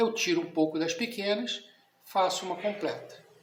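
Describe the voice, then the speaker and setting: This man speaks at a high pitch with lively intonation. Audible echo fills the room around him. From Brazil. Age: 60s. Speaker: catechism teacher. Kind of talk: lecture. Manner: conversational, informal.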